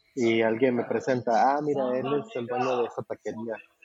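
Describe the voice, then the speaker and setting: This man has a plain, everyday voice. He talks at a moderate speed, his pitch moving in an ordinary way. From Mexico, Guadalajara. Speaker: taco restaurant owner abroad. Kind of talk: casual interview.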